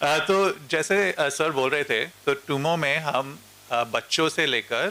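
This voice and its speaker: A man with a Mumbai accent. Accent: Mumbai-style Hindi. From India, Mumbai. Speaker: educator. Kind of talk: panel discussion. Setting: stage with audience.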